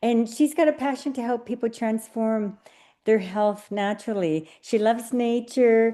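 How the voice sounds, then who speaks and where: Against a quiet background, a woman with an ordinary speaking voice talks at a fairly slow pace, her fairly high pitch showing ordinary variation. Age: 50s. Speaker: nurse hosting a wellness business presentation. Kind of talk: online presentation.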